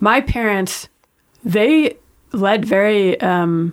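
A woman with a New York accent is heard on a very clean recording with a silent background. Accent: New York American. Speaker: astronaut. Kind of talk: interview.

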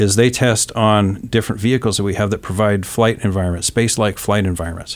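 Moving at a fairly quick pace, a man with an American accent speaks in a fairly low pitch with fairly even intonation. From Northern California (Fairfield). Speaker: space technology manager. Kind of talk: casual interview. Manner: hesitant, many fillers.

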